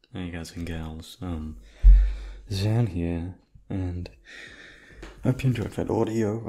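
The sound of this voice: A man's slow delivery in a dark, mellow tone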